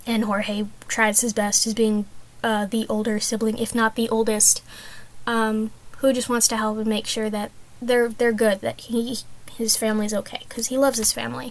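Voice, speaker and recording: A woman with a fairly high pitch talks at a moderate pace in a monotone, flat intonation. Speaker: art student. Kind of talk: class presentation. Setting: small closet room. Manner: hesitant, many fillers.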